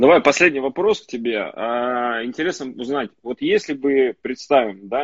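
A man with an unremarkable speaking voice speaks moderately fast at a medium pitch, with ordinary pitch variation. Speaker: entrepreneur, pizza and sushi chain owner. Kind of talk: casual live-stream chat. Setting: Instagram live stream, online.

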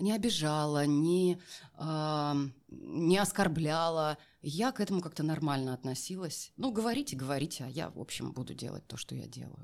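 Her voice is very deep and low for a woman, with lively intonation, big swings in loudness and a moderate pace. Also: very clean recording, silent background. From Siberia, Kemerovo region near Novokuznetsk. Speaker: voice actor and public speaking coach. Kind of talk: interview conversation.

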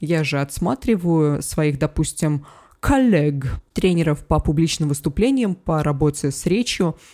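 This voice has a dark, mellow tone and ordinary pitch variation. The recording is very clean, with a silent background. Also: woman, very deep, low pitch for a woman. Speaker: public speaking coach. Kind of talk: interview. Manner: loud, not soft or gentle.

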